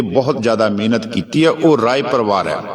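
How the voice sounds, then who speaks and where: Amid noticeable background noise and audible room echo, a man with a Punjabi accent speaks with lively intonation. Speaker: Sikh preacher. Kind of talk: sermon.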